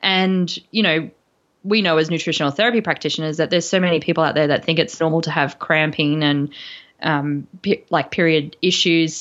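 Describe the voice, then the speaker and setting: Moderate pace in an Australian accent. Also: woman. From Brisbane, Australia. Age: 40s. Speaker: nutritional therapist and podcast host. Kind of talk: casual interview chat. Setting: remote call across time zones.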